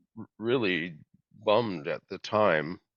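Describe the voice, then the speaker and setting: A man speaks with an American accent. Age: 70s. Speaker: environmental activist. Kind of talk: interview. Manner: halting, many fillers and repeats.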